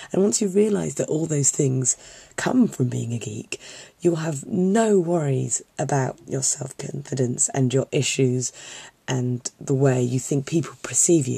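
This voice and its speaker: Her voice very deep and low, somewhat breathy and dark, mellow in tone, a woman talks at a fairly slow pace with lively intonation. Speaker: film student, geek fandom vlogger. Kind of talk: casual talk to camera. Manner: earnest, encouraging.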